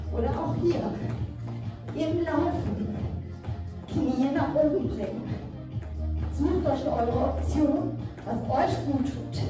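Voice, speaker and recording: A woman speaking very slowly with long, frequent pauses, audible room echo, and clear music in the background. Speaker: fitness instructor. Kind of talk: workout instruction. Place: gym.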